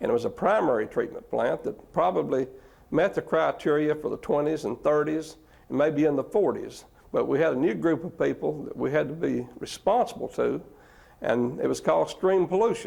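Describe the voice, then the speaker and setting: A man with an East Tennessee accent at a moderate pace. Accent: Southern American (East Tennessee). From East Tennessee, USA. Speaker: city manager and water manager. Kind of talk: oral history interview answer.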